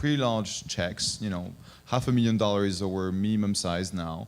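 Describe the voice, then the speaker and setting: Speaking with a French accent, a man talks at a moderate pace in a fairly low pitch, his intonation fairly even, with audible room echo. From France. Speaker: venture capital investor. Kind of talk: panel discussion. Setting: conference stage with audience. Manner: hesitant, with frequent fillers.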